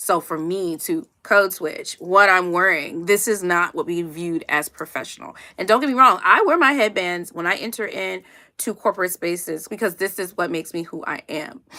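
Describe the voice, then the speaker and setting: Loud and animated, a woman speaks at a moderate pace with a medium pitch and ordinary pitch variation. Her tone is bright and sharp. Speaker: HR professional and career coach. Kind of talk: livestream talk.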